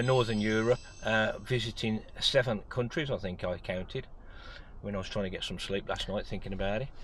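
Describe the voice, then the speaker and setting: With music in the background, a man at medium pitch keeps a moderate pace and fairly even intonation. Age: 60s. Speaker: vlogger. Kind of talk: casual chat. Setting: at a motorhome show. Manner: halting, many fillers.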